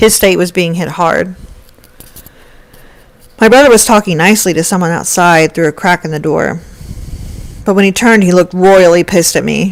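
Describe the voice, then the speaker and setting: The speech runs at a fairly quick pace with ordinary pitch variation and long, frequent pauses, over noticeable background noise. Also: woman, fairly low pitch for a woman. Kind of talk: first-person story narration.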